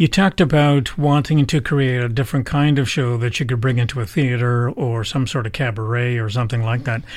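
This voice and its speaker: With a Canadian accent, a man talks at a fairly quick pace in an unremarkable speaking voice. His medium pitch shows ordinary variation. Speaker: podcast host. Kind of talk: interview. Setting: radio studio.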